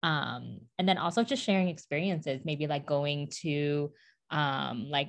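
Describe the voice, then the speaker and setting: Against a quiet background, a woman with an American accent talks at a very deep, low pitch with vocal fry. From suburbs of Detroit, Michigan. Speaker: podcast co-host, marketing professional. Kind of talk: casual chat.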